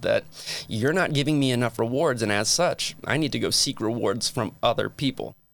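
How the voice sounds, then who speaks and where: A man with a normal speaking voice speaks at a medium pitch and moderate pace, with ordinary pitch variation, on a very clean recording with a silent background. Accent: American. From New Jersey (Metuchen). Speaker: communication professor and podcast host. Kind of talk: lecture. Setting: studio.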